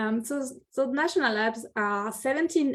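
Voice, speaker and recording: The recording is very clean, with a silent background. A woman with a French accent speaks at a moderate pace with ordinary pitch variation. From France. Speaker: city energy planner. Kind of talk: presentation. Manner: halting.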